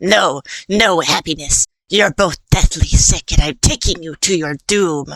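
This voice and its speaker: A put-on character voice, croaky, growling and cackling, at a middle pitch and a fairly slow pace. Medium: read story. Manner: grouchy, cackling.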